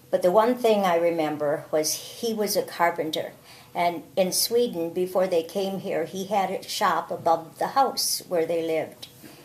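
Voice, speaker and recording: Speaking at a moderate pace with a medium pitch, a woman comes through over noticeable background noise. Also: ordinary pitch variation. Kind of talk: family memoir interview.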